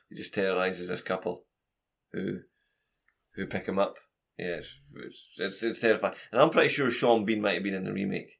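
A Scottish-accented man speaks at a fairly quick pace in a fairly low voice, with ordinary pitch variation, big swings in loudness and long, frequent pauses. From Scotland. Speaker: podcast co-host. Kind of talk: casual chat.

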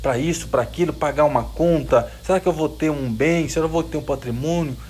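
A man speaks with audible room echo. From Brazil, Minas Gerais (Jequitinhonha valley). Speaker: preacher. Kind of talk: sermon to young audience. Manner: animated.

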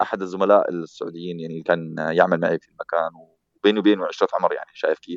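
A man talks at a very fast pace, with big swings in loudness. The sound is dry and close, with no echo. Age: 40s. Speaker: tech news site founder. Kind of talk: interview.

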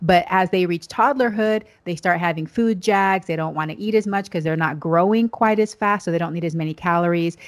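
A woman talks at a fairly quick pace in a normal speaking voice, fairly low in pitch with ordinary pitch variation and hardly any pauses. The recording is very clean with a silent background. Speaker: pediatrician. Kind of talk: casual interview.

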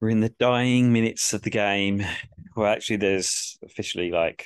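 In a dry, close sound with no echo, a man with an English accent speaks at a moderate pace, his fairly low voice keeping a fairly even intonation. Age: 30s. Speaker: podcast host, football fan. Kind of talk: casual chat; live commentary.

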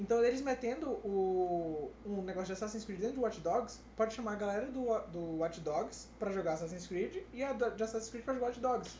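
Speech flows at a moderate pace with hardly any pauses. Background noise is noticeable throughout. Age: 20s. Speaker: podcast co-host. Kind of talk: casual chat.

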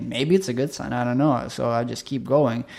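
A man with a Russian accent, medium in pitch, showing vocal fry and ordinary pitch variation, at a fairly quick pace. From Chelyabinsk, Russia. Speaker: film producer and writer. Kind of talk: casual interview chat. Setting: studio.

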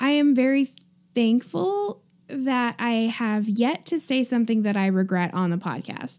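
A woman with an unremarkable speaking voice talks fairly slowly in a fairly high pitch, with ordinary pitch variation. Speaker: podcast co-host. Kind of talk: casual chat.

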